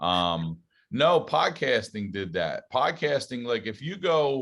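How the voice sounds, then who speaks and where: Speaking very slowly with a slight Southern US accent, a man swings his pitch very widely on a very clean recording with a silent background. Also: medium pitch for a man. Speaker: stand-up comedian and podcast host. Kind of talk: casual interview chat.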